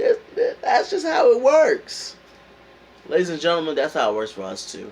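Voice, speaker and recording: Over noticeable background noise, a man talks with a New York accent. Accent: New York accent, still there. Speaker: motivational vlogger. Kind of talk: motivational talk. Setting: indoors at home, heater on. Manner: casual, hesitant with fillers.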